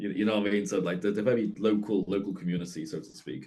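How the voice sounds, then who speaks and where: With a Liverpool accent, a man talks very fast in a dark, mellow tone, fairly low in pitch and with fairly even intonation. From Liverpool, England. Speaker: partner in couple interview. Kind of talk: casual interview.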